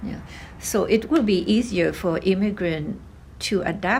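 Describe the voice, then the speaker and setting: Someone with a slight Vietnamese accent speaks at a fairly slow pace, with audible room echo. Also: woman. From Vietnam, Hanoi. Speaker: oral history interviewee, grandmother. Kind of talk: interview. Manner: hesitant, many fillers.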